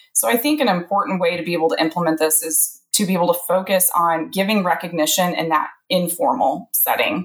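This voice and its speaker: Somewhat breathy and lively in intonation, the speaker talks at a fairly quick pace in a US Midwestern accent with hardly any pauses. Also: woman, fairly low pitch for a woman. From central Illinois. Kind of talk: interview.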